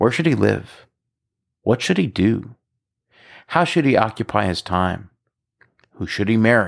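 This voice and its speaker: A man's fairly low, fry-laden voice at a fairly slow pace, lively in intonation, with long, frequent pauses, in a very clean recording with a silent background. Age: 50s. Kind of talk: scripted narration.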